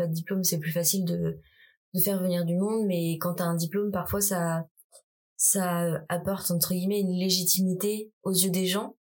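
A woman speaks at a moderate pace with a somewhat breathy voice. Her intonation stays monotone and flat. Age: 20s. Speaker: contemporary dancer. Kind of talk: casual interview.

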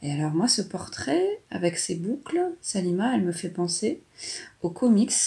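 At a very slow pace, a woman talks in a fairly low pitch, her dark, mellow tone somewhat breathy. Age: 40s. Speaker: mother describing an artwork with her daughter. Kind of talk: casual commentary describing a drawing. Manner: hesitant, with fillers.

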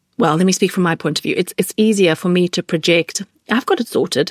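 Speaking very fast with a British accent, a woman uses a medium pitch and ordinary pitch variation, captured in a very clean recording with a silent background and a dry, close sound without echo. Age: 40s. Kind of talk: interview conversation.

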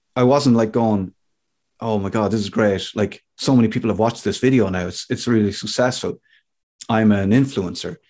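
Against a quiet background, a man with an Irish accent speaks at a moderate pace in a dark, mellow tone, his medium pitch held in fairly even intonation. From Ireland. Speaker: radio DJ and comedian. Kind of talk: casual interview.

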